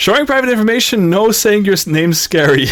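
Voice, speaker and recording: Music plays in the background. The delivery is very fast, with very wide pitch swings. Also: man. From Luxembourg, Dutch parents. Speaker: VTuber streamer. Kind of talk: casual live stream chat. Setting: live stream. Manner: rambling, many repetitions and restarts.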